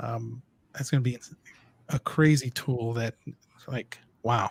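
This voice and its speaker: This man talks at a fairly slow pace. His voice is somewhat breathy. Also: medium pitch for a man, fairly even intonation, dry, close sound with no echo. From Southern California. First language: Spanish. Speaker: livestream host, video creator. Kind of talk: casual chat. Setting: livestream. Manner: halting, many filler words.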